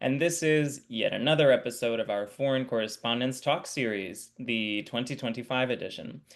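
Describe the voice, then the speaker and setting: A man with an ordinary speaking voice talks at a medium pitch and a moderate pace. He barely pauses, and his pitch variation is ordinary. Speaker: editorial supervisor. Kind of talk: interview host talk.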